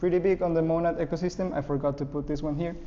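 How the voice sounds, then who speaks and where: Very fast speech from a man with a fairly high pitch, fairly even intonation and audible room echo. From Ecuador. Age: 20s. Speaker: programming instructor. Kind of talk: lecture; casual self-introduction.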